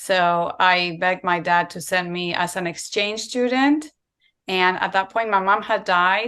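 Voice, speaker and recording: A woman with a Spanish accent speaks at a fairly slow pace in a bright, sharp tone. Her pitch is medium with ordinary variation, over a quiet background. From Spain. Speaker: raw vegan content creator. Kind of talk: interview. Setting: video call.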